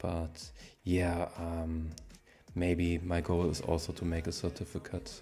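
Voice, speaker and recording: A man with a German accent speaks very slowly in a very deep, low pitch and a monotone, flat intonation. His tone is dark and mellow, and somewhat breathy. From Germany. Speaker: coding streamer. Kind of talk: live stream chat. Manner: halting.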